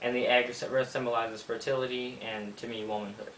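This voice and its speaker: Noticeable background noise and audible room echo accompany a man's voice. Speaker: YouTuber teaching witchcraft. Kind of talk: tutorial. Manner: fast; casual, hesitant with many ums.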